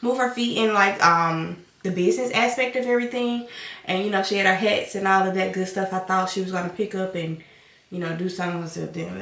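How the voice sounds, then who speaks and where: With a Southern US accent, a woman speaks fairly quickly in an animated tone with ordinary pitch variation, amid audible room echo and noticeable background noise. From US South. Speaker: vlogger, stay-at-home mom. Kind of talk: casual chat.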